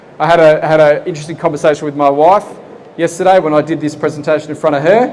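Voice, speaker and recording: Speech comes at a very fast pace with fairly even intonation. Background noise is noticeable. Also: man, fairly high pitch for a man. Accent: Australian. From Australia, Geelong, Victoria. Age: 40s. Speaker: property investment presenter. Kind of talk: seminar presentation. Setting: expo seminar room with live audience. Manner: conversational, engaging audience.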